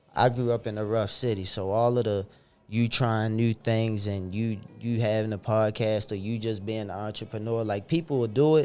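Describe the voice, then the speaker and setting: Over music in the background, a man with an American accent speaks at a fairly low pitch with fairly even intonation. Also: moderate pace. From Baltimore, Maryland. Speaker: podcaster and entrepreneur. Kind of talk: casual podcast chat.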